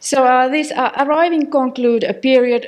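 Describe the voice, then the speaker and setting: The speaker has a non-native accent and ordinary pitch variation. The pace is moderate. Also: woman. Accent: non-native English accent, self-noted. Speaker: academic researcher. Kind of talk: conference lecture. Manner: halting, many fillers.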